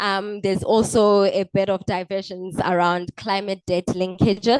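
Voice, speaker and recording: A woman's monotone, flat delivery, dry and close with no echo, against a quiet background. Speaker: policy researcher presenting findings. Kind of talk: conference presentation. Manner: hesitant, many fillers.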